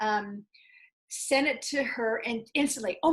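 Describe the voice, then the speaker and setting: A woman talks at a fairly slow pace, her intonation lively. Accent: American. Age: 60s. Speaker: small business founder. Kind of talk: interview.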